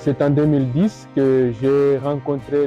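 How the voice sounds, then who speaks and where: Music plays in the background as a man with a medium-pitched voice talks at a very slow pace. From Bukavu, South Kivu, DR Congo. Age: 30s. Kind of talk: personal vocation testimony.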